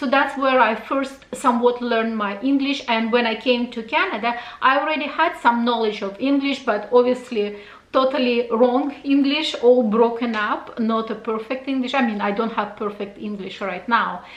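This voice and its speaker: Amid noticeable background noise and audible room echo, a woman speaks in a high pitch. Her pace is moderate and her intonation fairly even. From Russia. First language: Russian. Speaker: fashion YouTuber. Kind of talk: casual Q&A vlog.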